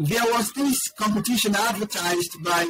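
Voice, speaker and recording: The speech shows ordinary pitch variation at a moderate pace. There is music in the background. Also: man. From Sierra Leone. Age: 20s. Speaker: aquaculture entrepreneur. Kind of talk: interview.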